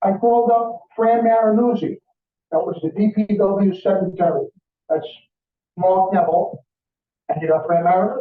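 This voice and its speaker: A man with an American accent speaks at a high pitch and a moderate pace, with ordinary pitch variation. His loudness stays very even, broken by long, frequent pauses. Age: 60s. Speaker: resident speaking at public comment. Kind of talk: public comment at council meeting.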